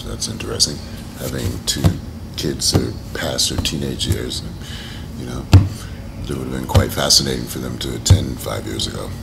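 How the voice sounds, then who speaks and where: With an American accent and lively intonation, a man speaks at a moderate pace over noticeable background noise. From United States. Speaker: actor. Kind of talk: interview answer. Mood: relaxed, reflective. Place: hall. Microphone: camera far.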